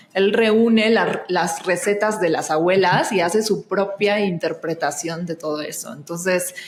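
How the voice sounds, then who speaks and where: Noticeable background noise sits behind a woman with a medium-pitched voice and fairly even intonation. She speaks at a fairly slow pace with hardly any pauses. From Argentina. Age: 30s. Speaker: actress and singer, astrologer. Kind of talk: podcast interview. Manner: hesitant, many fillers.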